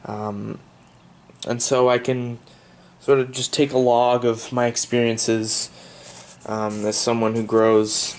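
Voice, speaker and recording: The speech moves at a very slow pace, broken by long, frequent pauses. Its intonation stays monotone and flat. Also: man, medium pitch for a man. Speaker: hobby plant grower. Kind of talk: casual vlog talk to camera. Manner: hesitant, many filler sounds.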